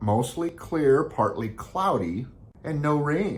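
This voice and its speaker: A man with an American accent speaks at a fairly slow pace with very wide pitch swings. Audible room echo surrounds his voice. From Beaverton, Oregon, US Pacific Northwest. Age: 60s. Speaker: real estate agent. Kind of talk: informational vlog.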